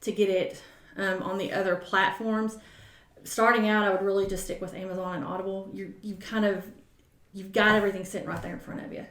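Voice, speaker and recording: With noticeable background noise and audible room echo, a woman in a Southern US accent speaks at a very fast pace, her medium-pitched voice held in a monotone, flat intonation. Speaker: author and book-publishing coach. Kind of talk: casual interview chat.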